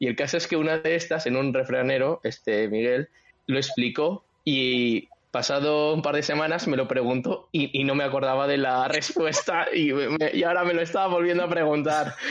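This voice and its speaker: A man's unremarkable speaking voice, fairly high in pitch, with ordinary pitch variation, very even loudness and a moderate pace. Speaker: podcast co-host and writer. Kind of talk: casual chat.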